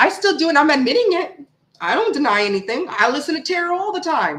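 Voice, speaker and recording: A woman with an American accent talks loudly and fairly quickly. Her pitch swings very widely. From USA. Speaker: tarot reader. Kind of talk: casual live chat. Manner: animated. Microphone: cheap mic pushed far away behind laptop.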